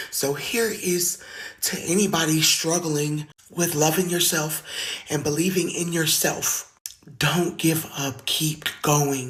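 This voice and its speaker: The speaker goes at a very slow pace over noticeable background noise. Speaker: singer sharing survival story. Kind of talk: testimony.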